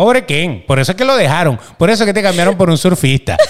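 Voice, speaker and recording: The speaker is male. He moves his pitch up and down across a very wide range. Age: 30s. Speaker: podcast co-host. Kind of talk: casual chat.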